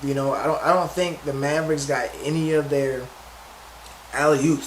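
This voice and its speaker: Over noticeable background noise and audible room echo, a man speaks at a fairly high pitch. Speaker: sports commentator. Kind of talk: casual commentary. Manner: fast; halting, many restarts.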